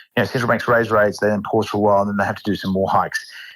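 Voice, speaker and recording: Speaking with an Australian accent, the man keeps his voice at a medium pitch. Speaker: fund manager. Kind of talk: interview. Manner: fast.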